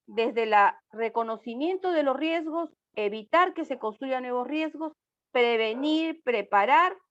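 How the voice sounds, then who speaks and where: This woman's voice is high-pitched, with lively intonation and a fairly slow pace. The background is quiet. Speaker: speaker on disaster risk management. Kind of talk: online talk. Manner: animated.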